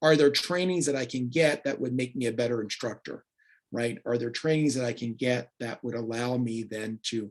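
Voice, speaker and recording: Using an ordinary speaking voice, a man talks at a medium pitch and moderate pace with fairly even intonation. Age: 60s. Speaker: peacebuilding consultant and career coach. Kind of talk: presentation.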